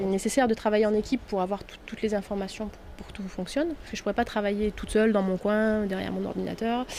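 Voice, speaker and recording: A woman talks at a very fast pace with a fairly high pitch. Her intonation stays fairly even. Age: 30s. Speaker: network administrator. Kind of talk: interview testimony. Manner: hesitant, many fillers.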